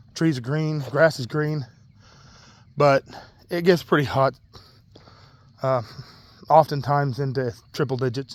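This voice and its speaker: This man's voice sits fairly high and moves at a fairly slow pace. He leaves long, frequent pauses. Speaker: vlogger. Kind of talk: personal vlog rant. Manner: casual, halting with fillers.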